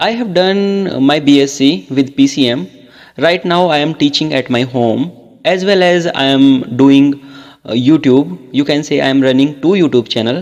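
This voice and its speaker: This man has a fairly high pitch and lively intonation. He talks at a moderate pace in an ordinary speaking voice. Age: 20s. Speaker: English tutor, YouTuber. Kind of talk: casual chat. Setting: phone call.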